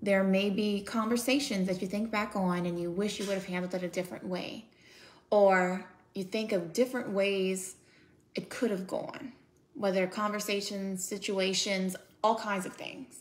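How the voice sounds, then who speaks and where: A woman with a medium pitch talks at a moderate pace, her intonation fairly even. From United States. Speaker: author and speaker. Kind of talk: casual talk to camera, encouraging and reflective. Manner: warm, sincere. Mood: calm, gentle, encouraging. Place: home room. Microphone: phone near.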